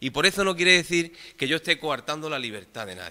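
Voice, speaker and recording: Vocal fry runs through a bright, sharp tone with lively intonation at a fairly quick pace. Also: man. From Andalusia, Cádiz province. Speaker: council member. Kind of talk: council meeting debate. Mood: argumentative, reproachful. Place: hall. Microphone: podium.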